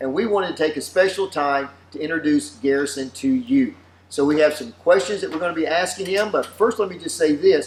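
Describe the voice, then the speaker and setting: This man has a Southern US accent and a high pitch. His intonation is lively and his pace fairly quick. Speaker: pastor. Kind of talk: casual chat.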